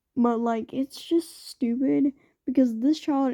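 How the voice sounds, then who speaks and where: A woman's high, dark and mellow voice, fairly even in intonation, dry and close with no echo against a quiet background. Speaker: commentary YouTuber. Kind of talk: casual commentary.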